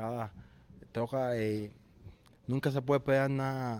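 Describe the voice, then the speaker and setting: A moderate pace with fairly even intonation. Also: man. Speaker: professional boxer. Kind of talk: interview. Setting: boxing gym. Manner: halting.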